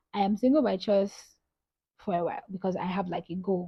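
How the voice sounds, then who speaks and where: At a moderate pace, a woman speaks in a somewhat breathy voice at medium pitch. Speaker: lifestyle vlogger. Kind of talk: casual vlog talk.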